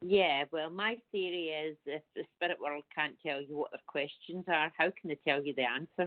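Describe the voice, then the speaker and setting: Woman with a Scottish accent and a very deep, low pitch, barely pausing at all. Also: ordinary pitch variation, moderate pace. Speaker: psychic medium. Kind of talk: radio interview.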